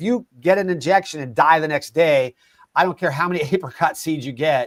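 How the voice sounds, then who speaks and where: A man with a plain, everyday voice, fairly high pitch and ordinary pitch variation, at a fairly quick pace, in a dry, close sound with no echo. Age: 60s. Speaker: nutrition company founder, alternative cancer advocate. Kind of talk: interview conversation.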